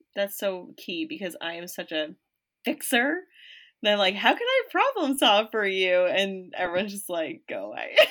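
A woman's medium-pitched voice, an unremarkable speaking voice, with lively intonation, big swings in loudness and a moderate pace, in a very clean recording with a silent background. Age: 30s. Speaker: podcast co-host. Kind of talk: casual chat.

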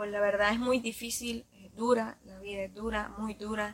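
A woman's medium-pitched, monotone voice with flat intonation at a fairly slow pace. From Nicaragua, Ciudad Sandino. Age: 20s. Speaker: dancer. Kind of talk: interview.

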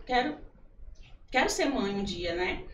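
A woman's fairly high-pitched voice at a moderate pace, with audible room echo and noticeable background noise. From Piauí (Corrente and Teresina). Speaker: churchgoer, psychology field. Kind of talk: testimony in a casual interview.

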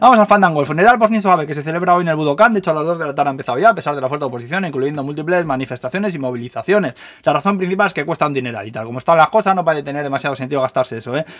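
A man talks at a very fast pace with hardly any pauses. His fairly high voice has lively intonation. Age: 40s. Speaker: news podcaster. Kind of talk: casual news roundup.

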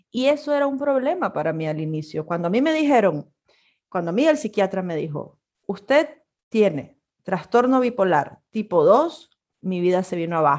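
A woman speaks at medium pitch and a moderate pace. Her pitch swings very widely. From Nicaragua. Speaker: podcast co-host, communicator and photographer. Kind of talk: casual chat.

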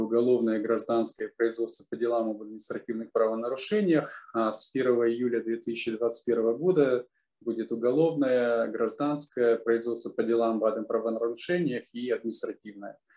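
A man's dark, mellow tone at medium pitch, moderate in pace with fairly even intonation. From Kazakhstan. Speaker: law professor. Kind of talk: expert interview.

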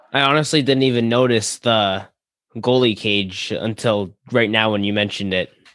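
This man's intonation is fairly even. He keeps a moderate pace. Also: medium pitch for a man. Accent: American. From New York, US. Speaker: podcast host. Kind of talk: casual interview.

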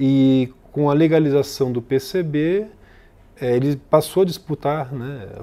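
A man speaks very slowly in a dark, mellow tone at a fairly high pitch, with ordinary pitch variation. The recording is very clean, with a silent background. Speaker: political science professor and author. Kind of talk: interview about his book.

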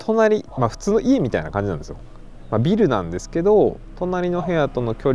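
A man talks at a moderate pace. Noticeable background noise is heard behind him. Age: 30s. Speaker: podcast host. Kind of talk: casual solo monologue. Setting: outdoors in a park at night.

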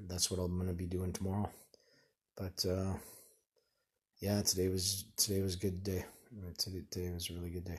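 A man with a Canadian accent speaks at a very deep, low pitch, somewhat breathy and monotone, with flat intonation. His pace is fairly quick despite long, frequent pauses, and the background is quiet. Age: 40s. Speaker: person in addiction recovery. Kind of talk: personal audio diary. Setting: lying in bed at night. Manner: halting, many fillers and restarts.

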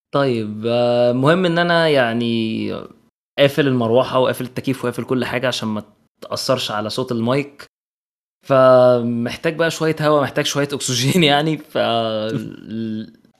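A man with an Egyptian accent, medium pitch, moderate pace and ordinary pitch variation, in a very clean recording with a silent background. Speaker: podcast host. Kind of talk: casual film review chat.

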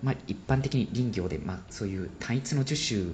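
A man speaks at a moderate pace. Noticeable background noise runs beneath his voice. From Japan, Sendai. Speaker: forest ecology PhD researcher. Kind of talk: interview explaining research.

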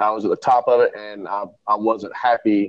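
A man speaks at a moderate pace and medium pitch. It is an ordinary speaking voice. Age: 30s. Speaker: entrepreneur. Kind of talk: casual chat.

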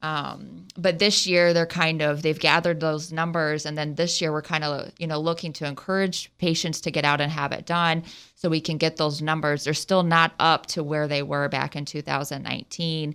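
With a slight Ohio accent, a woman talks in a very deep, low pitch and a monotone, flat intonation at a moderate pace with hardly any pauses, on a very clean recording with a silent background. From southwest Ohio. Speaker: surgeon. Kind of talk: radio interview. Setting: radio studio.

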